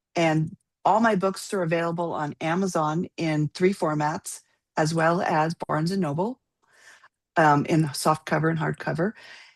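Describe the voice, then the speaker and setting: This is a raspy, put-on character voice with fairly even intonation. It moves at a moderate pace over a quiet background. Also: woman, fairly low pitch for a woman. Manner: fast-talking.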